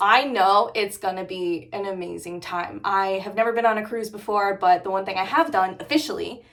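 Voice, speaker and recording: Noticeable background noise and audible room echo accompany a woman speaking in an animated tone. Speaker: motorcycle vlogger. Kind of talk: casual vlog talk to camera. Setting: in her garage. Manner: fast.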